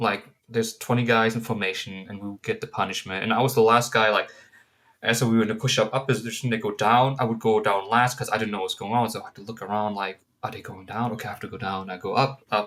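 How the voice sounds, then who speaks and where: Very fast and monotone, a man speaks with a German accent at a medium pitch, his loudness swinging widely. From Germany. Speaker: counseling student. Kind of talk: class presentation. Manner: casual, hesitant with fillers.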